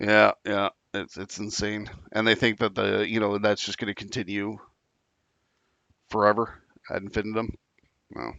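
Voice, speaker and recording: A man speaks at a moderate pace in a fairly low, flat monotone with vocal fry, leaving long, frequent pauses. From Canada. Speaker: podcast host. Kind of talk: casual chat.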